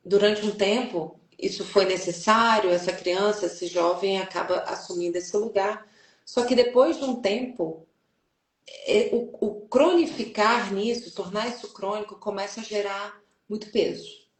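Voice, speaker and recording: A woman speaks at a medium pitch. She has a strong Brazilian accent. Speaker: journalist and family constellation facilitator. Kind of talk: interview. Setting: online live stream.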